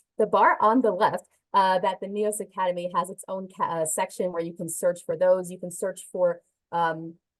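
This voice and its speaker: The background stays quiet. Her intonation, a woman's, is fairly even. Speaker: software trainer. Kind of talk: webinar tutorial. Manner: fast. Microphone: headset.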